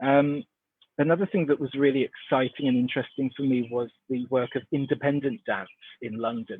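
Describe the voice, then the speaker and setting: A man with a British accent, a fairly high pitch and a fairly quick pace. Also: ordinary pitch variation. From UK. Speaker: dance artist, conference panelist. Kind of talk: online panel discussion. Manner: hesitant, many fillers.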